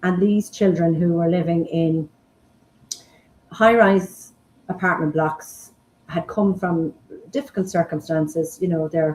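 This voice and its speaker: In an Irish accent, the speaker moves at a fairly slow pace with fairly even intonation and long, frequent pauses. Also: woman, fairly low pitch for a woman. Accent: Irish (Mayo). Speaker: forest school founder and principal. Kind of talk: interview.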